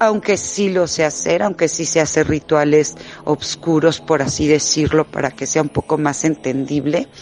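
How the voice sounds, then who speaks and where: A woman with a Mexican accent talks at a fairly slow pace in a very deep, low pitch, her intonation fairly even, over noticeable background noise. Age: 40s. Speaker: witch. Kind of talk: testimony. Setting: remote connection.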